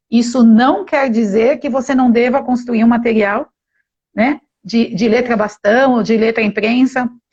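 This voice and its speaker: A plain, everyday voice from a woman, fairly high-pitched and fairly slow, with fairly even intonation. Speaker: pedagogue. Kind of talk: live stream talk. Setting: Instagram live video call.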